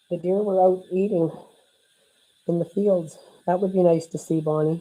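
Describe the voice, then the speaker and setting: Her dark, mellow tone set at a fairly low pitch, a woman talks at a moderate pace with monotone, flat intonation. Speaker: card-making instructor. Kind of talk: live craft tutorial. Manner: loud; casual, chatty.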